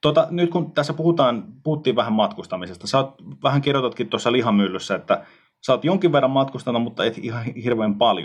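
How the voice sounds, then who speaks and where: Here is a man with a normal speaking voice and a medium pitch. His intonation is lively, and his pace is fairly quick. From Finland, Tampere. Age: 30s. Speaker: podcast host. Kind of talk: casual chat.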